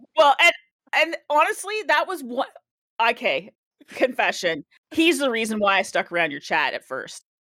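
A woman projects a raised, bright, sharp voice at a high pitch with very wide pitch swings, keeping a moderate pace with long, frequent pauses in a dry, close sound with no echo. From Canada. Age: 40s. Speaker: Twitch streamer. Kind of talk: casual chat.

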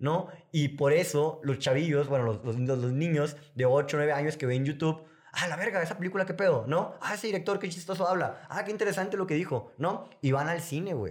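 A man speaks at a fairly quick pace in a normal speaking voice. His pitch sits fairly high, with ordinary pitch variation. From Sonora, northern Mexico. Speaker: filmmaker and music video director. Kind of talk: casual interview chat.

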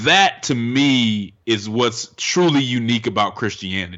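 With an American accent, a man speaks in a normal speaking voice at medium pitch with ordinary pitch variation. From Denver, Colorado. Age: 30s. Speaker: racial reconciliation advocate. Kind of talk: interview.

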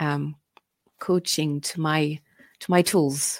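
A woman with a French accent, her pitch very deep and low, speaking at a very slow pace in a very clean recording with a silent background. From France. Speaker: innovation consultant and coach. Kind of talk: interview.

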